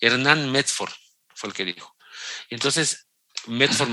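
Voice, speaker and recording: A man with a bright, sharp tone speaks at a moderate pace with fairly even intonation. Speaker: sports journalist. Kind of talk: interview.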